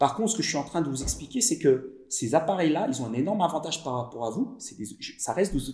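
A man's fairly high, dark and mellow voice, very fast, with very wide pitch swings. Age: 50s. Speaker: digital marketing consultant. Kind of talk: interview. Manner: halting.

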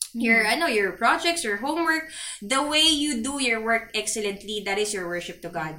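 Her fairly high voice moves in very wide pitch swings. Audible room echo and noticeable background noise accompany the woman. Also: moderate pace. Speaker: podcast host for a church youth fellowship. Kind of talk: casual chat.

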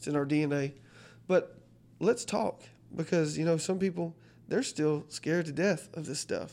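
A fairly high-pitched man with a Southern US accent at a fairly quick pace, in a very clean recording with a silent background. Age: 30s. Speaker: pastor. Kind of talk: casual chat.

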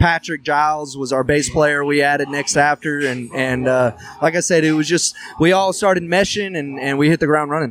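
With a Texan accent, a man talks at a moderate pace and a fairly high pitch, keeping fairly even intonation. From Texas, Huffman. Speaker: country singer and bandleader. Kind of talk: casual chat.

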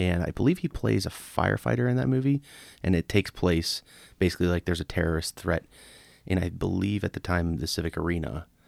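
Talking very fast with an American accent, a man uses a very deep, low pitch, very wide pitch swings and vocal fry. The recording is very clean, with a silent background and a dry, close sound with no echo. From Pittsburgh area, US. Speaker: podcast co-host. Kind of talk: casual chat.

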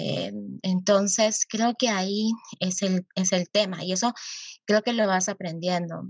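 A woman talks very slowly at a medium pitch in a monotone, flat intonation. Her voice is somewhat breathy. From Arequipa, Peru. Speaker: youth activist and nonprofit founder. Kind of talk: interview conversation. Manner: halting with many fillers.

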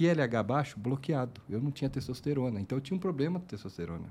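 Somewhat breathy and dark, mellow in tone, a man speaks at a moderate pace and medium pitch with lively intonation. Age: 40s. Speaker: podcast host, lab owner. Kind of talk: casual interview.

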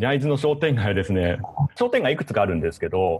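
At a fairly quick pace, a man with a fairly low, somewhat breathy voice moves through very wide pitch swings. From Shizuoka, Japan. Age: 40s. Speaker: web producer and company founder. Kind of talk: casual interview chat.

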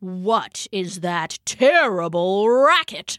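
A woman uses a put-on character voice at medium pitch. She speaks at a very slow pace. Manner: growling.

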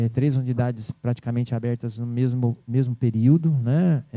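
Fairly slow in pace, a man speaks at a medium pitch. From Brazil, São Paulo state (Vale do Paraíba). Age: 40s. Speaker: business owner. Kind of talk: interview. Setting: radio studio. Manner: hesitant, many fillers.

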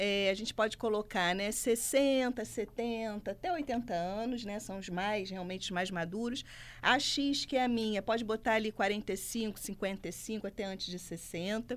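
A woman's pace is very slow. Her pitch varies in an ordinary way. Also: fairly high pitch for a woman, hardly any pauses. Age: 40s. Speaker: career commentator. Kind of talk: radio talk show. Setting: studio.

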